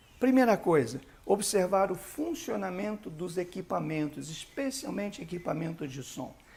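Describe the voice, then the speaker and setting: This voice belongs to a man. Very wide swings run through his pitch. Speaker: bishop, church leadership teacher. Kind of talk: lecture.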